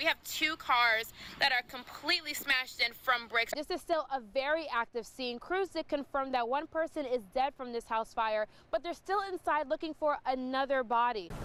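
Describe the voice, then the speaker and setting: A woman with a high pitch uses a raised, projected voice, ordinary pitch variation and a moderate pace, with noticeable background noise behind her. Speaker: TV news anchor and reporter. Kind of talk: field news reporting. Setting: outdoors.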